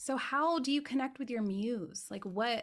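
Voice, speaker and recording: This woman has an unremarkable speaking voice. She talks at a moderate pace with lively intonation. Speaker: podcast host and spiritual teacher. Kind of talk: casual interview chat.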